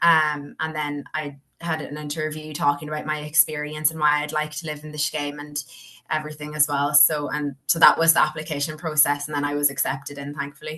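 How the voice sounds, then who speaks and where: A woman's very deep, low voice with a bright, sharp tone, in a Donegal accent, at a moderate pace with monotone, flat intonation. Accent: Irish, Donegal. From Ireland, Donegal. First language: Irish. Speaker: university student. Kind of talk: interview answer.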